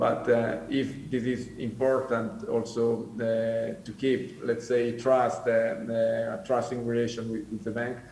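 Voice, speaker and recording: A man with an Italian accent speaks at a fairly slow pace, with noticeable background noise and audible room echo. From Italian-speaking Switzerland. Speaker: commodity trading executive. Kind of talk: panel discussion. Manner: halting, many fillers.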